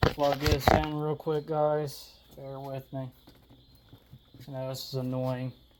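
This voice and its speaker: With long, frequent pauses and big swings in loudness, a man with a fairly high pitch talks fairly slowly in a monotone, flat intonation. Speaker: drag racing vlogger. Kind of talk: casual vlog talk. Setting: outdoors at home by the car. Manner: quieter, keeping voice down outdoors.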